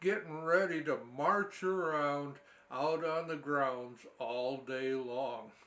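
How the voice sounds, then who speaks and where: Speaking very slowly with an American accent, a man sounds relaxed and shows ordinary pitch variation. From Wisconsin. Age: 70s. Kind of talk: personal memoir storytelling. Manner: folksy, relaxed.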